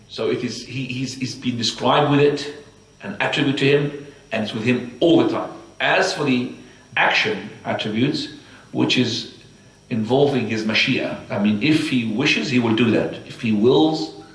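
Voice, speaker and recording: A man with an Arabic accent talks at a moderate pace, his pitch medium with ordinary variation. The room echo is audible and there is noticeable background noise. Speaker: Islamic teacher. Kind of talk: religious lecture. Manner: halting.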